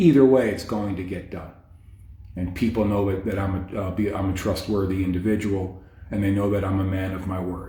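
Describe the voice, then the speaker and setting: In a quiet, somewhat breathy voice with a dark, mellow tone, a man speaks at a fairly low pitch and fairly quick pace, his intonation monotone and flat, with audible room echo. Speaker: fitness coach. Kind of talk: casual live stream talk. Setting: hotel stairwell, Facebook live. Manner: quiet, talking low; hesitant, many fillers.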